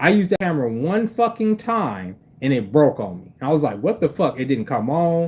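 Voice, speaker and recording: Pitched fairly high, a man's voice moves through very wide pitch swings. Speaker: livestreamer. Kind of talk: casual livestream chat. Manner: stutters, speech impediment.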